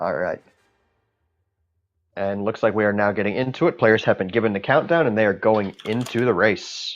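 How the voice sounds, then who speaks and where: A man with a fairly low pitch and ordinary pitch variation, long, frequent pauses, and music in the background. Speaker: esports commentator. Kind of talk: live commentary. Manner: fast.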